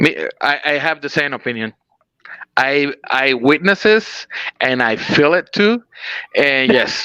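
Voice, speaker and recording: A man with a Spanish accent speaks very slowly, with long, frequent pauses and lively intonation. His fairly high voice has a bright, sharp tone and a dry, close sound with no echo. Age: 40s. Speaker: pro wrestler. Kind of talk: interview. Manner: halting.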